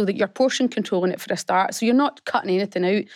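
A woman speaks at medium pitch with ordinary pitch variation, the sound dry and close with no echo. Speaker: fitness business founder. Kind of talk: radio interview. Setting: studio.

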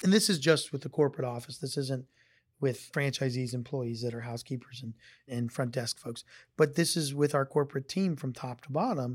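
Somewhat breathy, a man with an American accent speaks at a fairly quick pace and medium pitch with ordinary pitch variation. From Northeast Ohio. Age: 40s. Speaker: hotel company executive. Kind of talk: interview.

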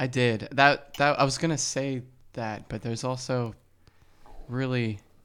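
A man with an American accent speaks at a medium pitch and a fairly slow pace, his intonation fairly even, with long, frequent pauses, on a very clean recording with a silent background. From New Jersey. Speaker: podcast guest, co-host's partner. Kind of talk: casual chat. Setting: at home.

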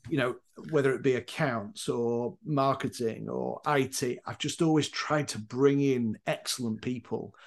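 Against a quiet background, a man of medium pitch speaks fairly slowly with a Yorkshire accent and ordinary pitch variation. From northern England, Leeds, Yorkshire. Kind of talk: casual interview.

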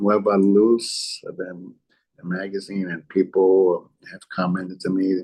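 A man with an American accent and a fairly low pitch speaks at a fairly slow pace in a dark, mellow tone, his loudness swinging widely. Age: 70s. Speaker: arts administrator. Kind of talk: casual interview. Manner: halting, many fillers.

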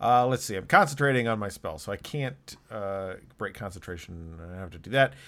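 A man with a plain, everyday voice talks at a fairly quick pace and a fairly low pitch, with lively intonation, big swings in loudness, and a very clean recording over a silent background. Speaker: player and podcast host. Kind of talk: actual-play tabletop role-playing game, in-character banter.

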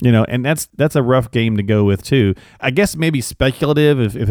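A man with an ordinary speaking voice talks at a fairly quick pace with ordinary pitch variation, in a very clean recording with a silent background. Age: 40s. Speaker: podcast host. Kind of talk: casual interview chat.

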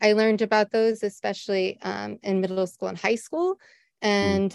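The woman speaks at a medium pitch with an American accent. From US Midwest (Ohio, near Cleveland). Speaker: teacher. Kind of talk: interview. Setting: live-streamed podcast.

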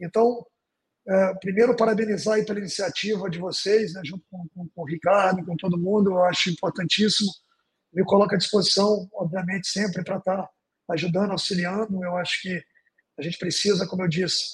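A man's high voice at a fairly quick pace, fairly even in intonation, with big swings in loudness. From northern Brazil, Porto Velho, Rondônia. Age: 40s. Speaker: football club executive. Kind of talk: interview.

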